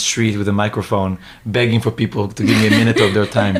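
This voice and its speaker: The speaker talks at a moderate pace with an Israeli accent. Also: man. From Israel, then Hong Kong from age 13. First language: Hebrew. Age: 20s. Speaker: new media entrepreneur and street interviewer. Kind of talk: podcast interview. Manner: halting, many fillers and restarts.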